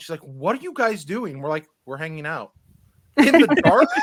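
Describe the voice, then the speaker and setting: His delivery keeps a moderate tempo. This man's pitch leaps and drops across a very wide range. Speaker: board game content creator. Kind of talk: casual chat. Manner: loud and boisterous.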